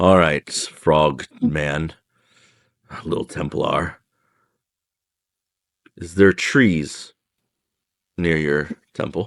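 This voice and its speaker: Putting on a character voice, a man speaks at a very deep, low pitch, raspy and wheezy, at a very slow pace with long, frequent pauses and fairly even intonation, in a dry, close sound with no echo. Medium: actual play. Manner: earnest, tired.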